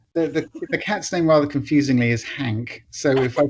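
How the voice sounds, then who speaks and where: A man with an English accent and a fairly high pitch. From England. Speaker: author. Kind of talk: casual chat. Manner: halting.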